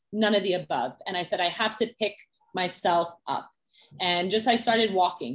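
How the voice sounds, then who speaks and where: A woman with a medium pitch. She has an unremarkable speaking voice. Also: ordinary pitch variation, moderate pace. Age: 30s. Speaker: music executive and sprinter. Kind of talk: interview. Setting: in person.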